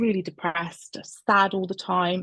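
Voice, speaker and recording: A woman with a Bristol accent speaks at a medium pitch and a moderate pace against a quiet background. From England, Bristol. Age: 40s. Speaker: coaching client, health service worker. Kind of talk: interview testimony. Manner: hesitant, many fillers.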